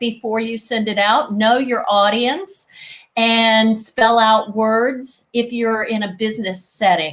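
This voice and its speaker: Very slowly, a woman with a slight Southern US accent speaks at a fairly high pitch with ordinary pitch variation. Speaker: etiquette expert. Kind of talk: interview.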